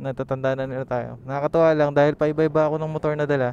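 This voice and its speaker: A man's fairly high, monotone, flat voice at a very fast pace. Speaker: motovlogger. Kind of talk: riding vlog commentary. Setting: riding a motorcycle outdoors. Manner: talkative.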